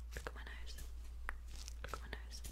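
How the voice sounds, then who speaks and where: Soft-spoken and calm in tone, a woman talks at a fairly quick pace. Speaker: ASMR creator. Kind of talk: soft ASMR instructions to viewer. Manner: soft, calm repeated instruction. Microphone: studio mic.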